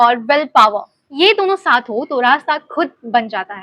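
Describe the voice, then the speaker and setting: A woman uses a raised, projected voice with very wide pitch swings. The sound is dry and close, with no echo. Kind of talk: personal story, casual talk to camera. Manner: reflective, sincere.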